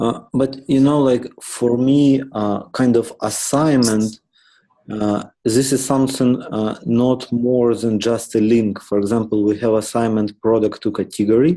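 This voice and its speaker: The dark, mellow voice keeps a moderate pace with long, frequent pauses, fairly even intonation and very even loudness. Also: man, medium pitch for a man. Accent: non-native. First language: not English. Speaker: software architect leading meeting. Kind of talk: work meeting discussion. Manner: halting, many fillers.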